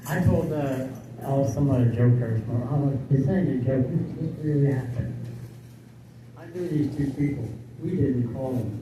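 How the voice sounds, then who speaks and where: Against noticeable background noise and audible room echo, a man with a medium pitch speaks at a moderate pace with fairly even intonation and long, frequent pauses. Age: 80s+. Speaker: retired senior telling life stories. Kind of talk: casual storytelling. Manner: halting.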